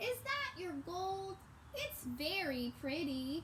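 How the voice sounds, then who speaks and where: A woman uses a squeaky, put-on character voice at an extremely high pitch. She speaks at a very slow pace over clear background noise. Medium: read story.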